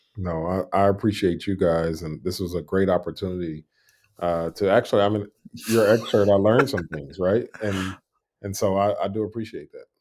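This is a plain, everyday voice from a man with a fairly low pitch. He keeps a moderate pace and fairly even intonation. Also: very clean recording, silent background. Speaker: educator and entrepreneur. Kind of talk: casual interview chat.

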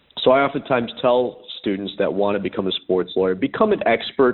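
At a medium pitch and a moderate pace, a man speaks in a normal speaking voice with ordinary pitch variation. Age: 30s. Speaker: sports lawyer and author. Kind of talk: interview.

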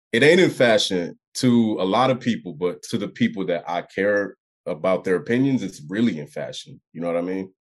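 This man has an unremarkable speaking voice, a fairly low pitch, a moderate pace and lively intonation. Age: 20s. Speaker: rapper. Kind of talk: casual chat.

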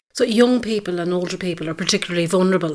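Speaking with an Irish accent, a woman uses ordinary pitch variation. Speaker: podcast host, sustainability advisor. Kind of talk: interview. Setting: on location at farm.

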